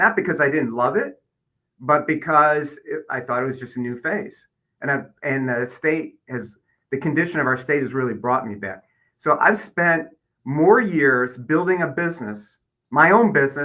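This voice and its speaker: Here a man with a Midwestern American accent talks at a moderate pace. His bright, sharp tone sits at a fairly high pitch, with lively intonation. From Michigan, Detroit area. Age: 60s. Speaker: political candidate. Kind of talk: interview.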